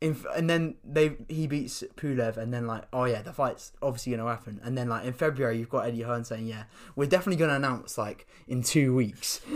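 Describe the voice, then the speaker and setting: At a fairly quick pace, a normal speaking voice comes through in a very clean recording with a silent background. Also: man, medium pitch for a man, ordinary pitch variation. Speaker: football podcast co-host. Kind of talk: casual chat. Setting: studio.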